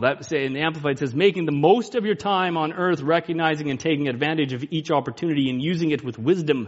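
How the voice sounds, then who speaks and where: A man talks at a moderate pace. His intonation is lively. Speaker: preacher. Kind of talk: sermon. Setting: church. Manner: loud.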